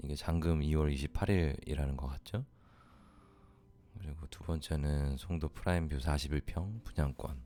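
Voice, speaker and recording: A man speaks with a very deep, low pitch and a dark, mellow tone. His intonation is fairly even and his pace moderate. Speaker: real estate investment advisor answering questions. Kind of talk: Q&A advice talk.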